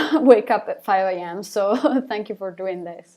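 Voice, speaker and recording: A woman with an Italian accent speaks with very wide swings in pitch. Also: very clean recording, silent background. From Italy. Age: 20s. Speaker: singer of a rock band. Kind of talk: live Q&A stream. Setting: live stream on camera. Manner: hesitant, repeats words.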